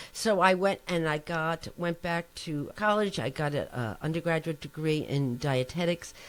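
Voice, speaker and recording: A woman's fairly low-pitched voice in a New Jersey accent, with hardly any pauses. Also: ordinary pitch variation, fairly slow pace. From New Jersey, US. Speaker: nutrition professor. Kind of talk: interview. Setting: podcast.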